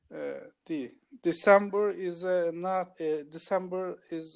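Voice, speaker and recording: Very slow speech in a Turkish accent, with fairly even intonation. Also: man. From Turkey. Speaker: English learner. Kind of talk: language practice answers. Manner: hesitant.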